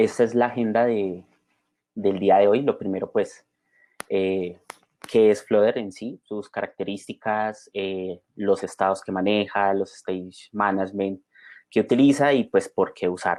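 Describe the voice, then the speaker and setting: A man talks at a fairly slow pace with a slight Bogotá accent, his pitch fairly low. His intonation stays fairly even against a quiet background. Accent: slight Bogotá (rolo). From Colombia, Bogotá. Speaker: software developer and conference speaker. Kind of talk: conference talk. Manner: many filler sounds and repetitions.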